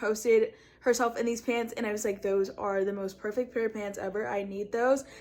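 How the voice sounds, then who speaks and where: The recording is very clean with a silent background as a woman speaks at a fairly high pitch. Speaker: vintage clothing seller and fashion vlogger. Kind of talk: casual try-on haul vlog. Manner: fast; animated.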